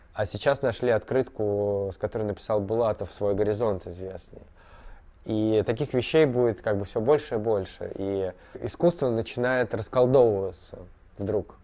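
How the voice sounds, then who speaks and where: Speaking at a moderate pace, a man uses a fairly low pitch with ordinary variation and a dark, mellow tone. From Moscow, Russia; Russia. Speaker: artist. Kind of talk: interview; interview answer. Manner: halting, many fillers. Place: workshop.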